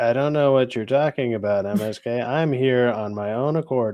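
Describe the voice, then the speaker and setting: A man's robotic, put-on character voice at a medium pitch and a moderate pace. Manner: robotic, monotone.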